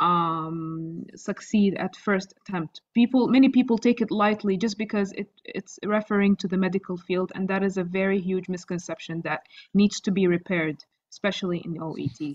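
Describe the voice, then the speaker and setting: Recorded with a dry, close sound and no echo, a woman with an Arabic accent speaks at a moderate pace and medium pitch, with ordinary pitch variation and hardly any pauses. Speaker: doctor who passed OET exam. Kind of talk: interview.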